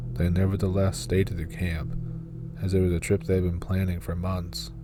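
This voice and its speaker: Music plays in the background as a man speaks at a moderate pace. His very deep, low voice swings very widely in pitch. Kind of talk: horror encounter story narration.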